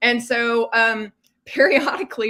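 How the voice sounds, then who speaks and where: A woman speaks with an American accent in an animated tone that is bright and sharp. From West Texas. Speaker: mystery author. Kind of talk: casual chat.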